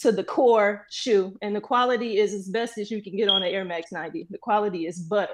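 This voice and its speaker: Against a quiet background, a woman with an American accent talks at a fairly quick pace in an unremarkable speaking voice, fairly high in pitch with ordinary pitch variation. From Flint, Michigan. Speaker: sneaker collector, contestant. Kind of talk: casual show-and-tell.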